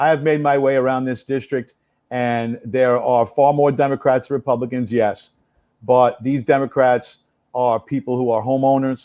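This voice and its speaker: Speaking at a moderate pace with a New York accent, a man uses a flat monotone in a dark, mellow, medium-pitched voice. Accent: New York City. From New York City, the Bronx. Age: 60s. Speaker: congressional candidate. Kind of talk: live interview.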